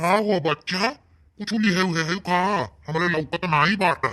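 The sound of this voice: In a cartoonish character voice, a man speaks with a high pitch. His pace is moderate and his pitch variation is ordinary.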